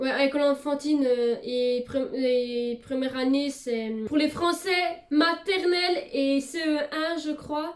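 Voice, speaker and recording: A woman talks at a very slow pace with a high pitch. Noticeable background noise is present. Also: ordinary pitch variation. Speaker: YouTuber. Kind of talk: casual vlog. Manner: hesitant, many fillers.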